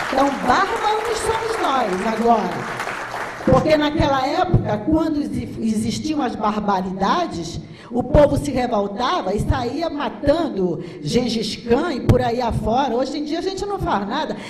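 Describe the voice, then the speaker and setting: A woman's high-pitched, animated voice with very wide pitch swings and a fairly slow pace, amid audible room echo and noticeable background noise. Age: 60s. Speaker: physician and speaker. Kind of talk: lecture. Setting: stage with audience.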